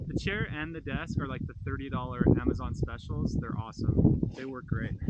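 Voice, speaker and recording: A medium-pitched man speaks with ordinary pitch variation and big swings in loudness over noticeable background noise. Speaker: ham radio operator. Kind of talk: outdoor vlog narration. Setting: outdoors. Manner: fast.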